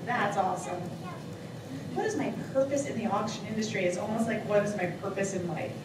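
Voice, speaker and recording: Someone speaks with an American accent. Noticeable background noise and audible room echo fill the recording. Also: woman. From Long Island, New York. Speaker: auctioneer. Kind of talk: contest interview answer. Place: hall.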